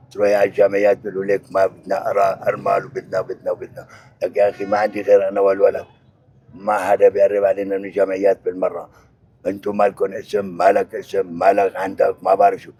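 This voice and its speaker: Speaking at a fairly quick pace with a Syrian accent, a man is recorded in a dry, close sound with no echo. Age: 70s. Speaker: displaced elderly father. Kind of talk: street interview.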